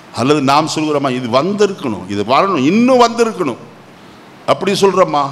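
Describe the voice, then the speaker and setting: A man speaks against noticeable background noise. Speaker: pastor. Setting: church.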